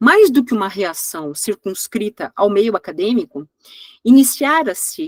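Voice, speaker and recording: A woman at medium pitch, moderate pace and very wide pitch swings, in a dry, close sound with no echo. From Brazil. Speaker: history professor. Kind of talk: lecture. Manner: halting, many fillers.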